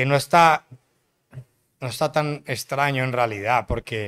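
A man's fairly high-pitched voice at a fairly slow pace, with ordinary pitch variation. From Colombia, Cartagena. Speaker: music producer. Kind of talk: casual interview chat. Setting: studio.

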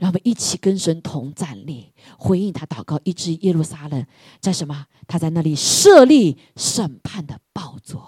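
A woman with a fairly low, somewhat breathy voice and a dark, mellow tone speaks at a fairly slow pace with lively intonation and big swings in loudness, recorded dry and close with no echo. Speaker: preacher leading prayer. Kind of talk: sermon with fervent prayer. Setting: church. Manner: fervent, urgent, repetitive exhortation; animated, rallying the congregation.

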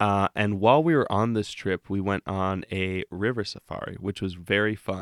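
A man speaks in a plain, everyday voice at a fairly low pitch and moderate pace, with hardly any pauses. The sound is dry and close with no echo, on a very clean recording with a silent background. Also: ordinary pitch variation. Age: 20s. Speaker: podcast host and storyteller. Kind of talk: storytelling.

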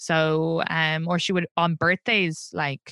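A woman with a very deep, low pitch and a bright, sharp tone speaks at a very slow pace, the sound dry and close with no echo. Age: 30s. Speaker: podcast guest. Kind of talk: casual interview.

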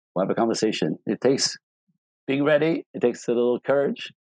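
A man with a French accent at a fairly quick pace, in a dry, close sound with no echo. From Quebec City, Canada. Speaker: life and relationship coach. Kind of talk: interview. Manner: animated.

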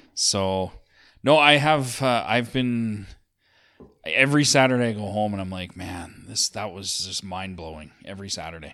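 A man with an unremarkable speaking voice talks at a moderate pace, his pitch fairly low. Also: lively intonation, big swings in loudness. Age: 40s. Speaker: podcast producer and recovery guest. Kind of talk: casual chat. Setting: church.

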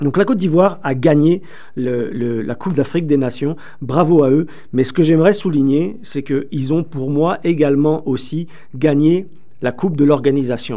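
This voice has a dark, mellow tone and ordinary pitch variation. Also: man. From France. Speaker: sports radio host. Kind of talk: radio sports talk show. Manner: animated.

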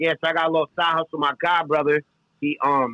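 Recorded dry and close with no echo, a man speaks with a New York accent. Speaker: podcast guest. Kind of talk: casual chat.

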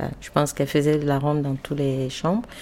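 A woman's very deep, low voice with flat, monotone intonation. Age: 30s. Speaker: family caregiver. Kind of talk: testimony.

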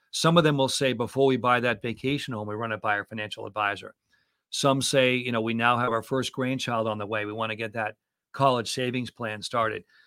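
On a very clean recording with a silent background, a man with an American accent speaks at a fairly quick pace in a medium pitch, his tone bright and sharp and his intonation fairly even. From US Northeast (Boston area). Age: 60s. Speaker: financial advisor and podcast host. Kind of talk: interview.

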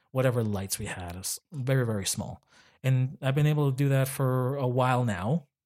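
This man has a normal speaking voice at a medium pitch with ordinary pitch variation. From Chile, moved to Canada at nine. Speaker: filmmaker and social media content producer. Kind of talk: casual interview chat.

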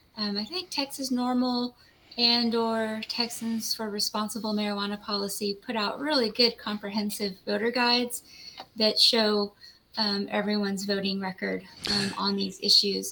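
A woman speaks in a normal speaking voice at a fairly high pitch. Her pace is moderate and her intonation fairly even. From US South. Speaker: lawyer. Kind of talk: interview.

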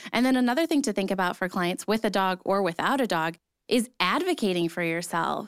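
With an ordinary speaking voice, a woman talks at a fairly quick pace and with lively intonation in a very clean recording with a silent background. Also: medium pitch for a woman. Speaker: podcast co-host. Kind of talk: casual chat.

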